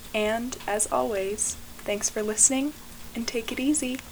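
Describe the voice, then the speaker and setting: Noticeable background noise surrounds a woman talking fairly slowly. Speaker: poet and podcast host. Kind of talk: spoken word poetry reading, lyrical and image-rich.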